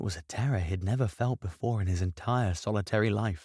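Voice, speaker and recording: A man speaks at a moderate pace in a somewhat breathy voice. The recording is very clean, with a silent background and a dry, close sound with no echo. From British. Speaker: voice actor, audiobook narrator. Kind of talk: fantasy audiobook reading.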